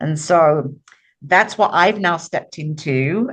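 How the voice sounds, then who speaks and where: A woman at a fairly slow pace with ordinary pitch variation, an unremarkable speaking voice. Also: quiet background. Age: 60s. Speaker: author and book publisher. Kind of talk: podcast interview.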